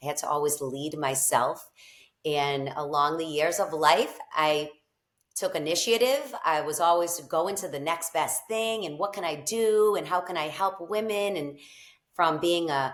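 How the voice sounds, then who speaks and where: A woman with a strong Boston accent and a fairly low voice speaks at a fairly slow pace with ordinary pitch variation. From Boston area, Massachusetts. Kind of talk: interview.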